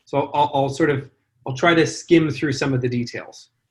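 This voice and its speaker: This man, with an American accent, has a fairly high-pitched and somewhat breathy voice. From California. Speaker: charity founder and CEO. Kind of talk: interview. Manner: hesitant, many fillers.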